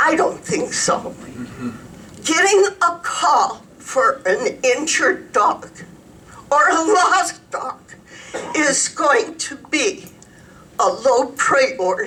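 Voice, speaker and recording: A woman's raised, projected voice at an extremely high pitch, with very wide pitch swings, a very slow pace, long, frequent pauses and noticeable background noise. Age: 70s. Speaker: resident speaking at public comment. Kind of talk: public comment at county commissioners meeting.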